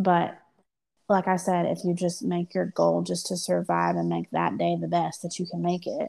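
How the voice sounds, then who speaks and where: Very clean and set against a silent background, the recording holds speech at a moderate speed. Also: woman. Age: 30s. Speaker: podcast co-host, mother of three. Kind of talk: casual chat.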